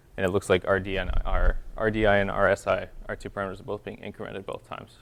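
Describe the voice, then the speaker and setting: Loudness rises and falls sharply as a man rattles along at a very fast pace. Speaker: teaching assistant. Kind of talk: review session lecture.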